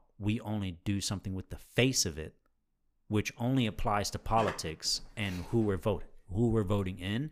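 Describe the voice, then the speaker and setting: On a very clean recording with a silent background, a man speaks at a fairly low pitch and a moderate pace with ordinary pitch variation. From Brazil (São Paulo). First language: Portuguese. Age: 20s. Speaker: podcast co-host. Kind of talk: casual chat.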